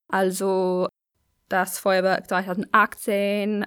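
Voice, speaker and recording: A woman's medium-pitched voice with an English accent. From London, England. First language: English (speaking German). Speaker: contributor from abroad. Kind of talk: read-out statement. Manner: halting, with fillers.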